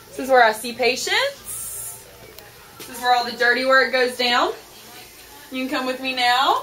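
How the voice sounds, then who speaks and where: A woman with a high pitch speaks in a raised, projected voice at a moderate pace, with long, frequent pauses and fairly even intonation. Her loudness swings widely, and there is noticeable background noise. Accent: American. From US South, North Carolina (Greensboro). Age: 20s. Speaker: dentist and dating show applicant. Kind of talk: video self-introduction. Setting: dental office tour. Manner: casual, hesitant with fillers.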